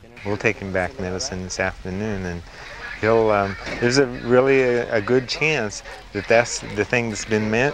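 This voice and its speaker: A man talks at moderate speed, his pitch varying in an ordinary way, with noticeable background noise throughout. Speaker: doctor, medical volunteer. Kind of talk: interview answer. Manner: hesitant, thoughtful, with pauses and fillers.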